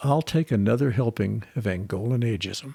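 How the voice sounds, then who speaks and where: A somewhat breathy man speaks at a moderate pace. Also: very clean recording, silent background. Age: old. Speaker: podcast co-host. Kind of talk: scripted storytelling.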